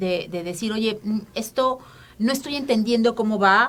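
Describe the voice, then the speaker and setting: Intonation rises and falls in a lively way. The woman's voice sits fairly high. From Mexico City, Mexico. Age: 50s. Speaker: feminist activist. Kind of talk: interview. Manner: halting, many fillers.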